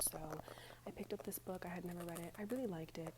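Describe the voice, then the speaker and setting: The speaker is soft-spoken. Noticeable background noise is present. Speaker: ASMR creator. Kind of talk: ASMR book review talk to camera.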